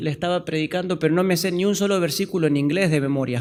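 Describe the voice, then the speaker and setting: A man's voice, with ordinary pitch variation, comes through in a very clean recording with a silent background. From Argentina. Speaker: pastor. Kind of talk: sermon. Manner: halting.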